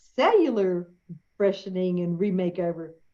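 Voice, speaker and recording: Speaking at a moderate pace, a woman with a Southern US accent has a dark, mellow tone. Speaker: podcast host. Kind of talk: interview introduction. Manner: warm, enthusiastic.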